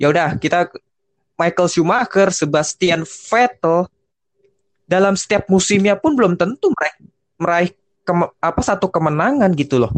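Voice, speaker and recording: In a dry, close sound with no echo, a man with a high voice keeps very even loudness and ordinary pitch variation at a moderate pace, leaving long, frequent pauses. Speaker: motorsport podcast host. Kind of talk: casual chat.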